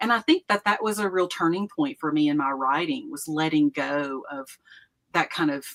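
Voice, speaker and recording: A woman with an Appalachian accent speaks at a moderate pace in a fairly low pitch, her intonation lively. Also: dry, close sound with no echo. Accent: Southern Appalachian US. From East Tennessee. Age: 60s. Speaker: retired professor and author. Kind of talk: casual interview chat.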